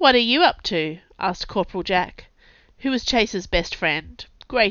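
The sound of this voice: Lively intonation carried by an unforced reading voice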